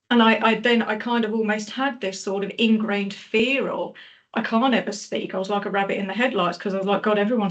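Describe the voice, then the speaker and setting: Amid noticeable background noise, a woman with a medium pitch speaks at a very fast pace. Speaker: podcast host. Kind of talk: casual chat. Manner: animated.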